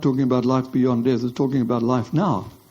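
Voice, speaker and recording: Speaking at a very fast pace, a man uses a medium pitch. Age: 80s+. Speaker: theology professor. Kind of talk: lecture Q&A answer. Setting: lecture hall with audience.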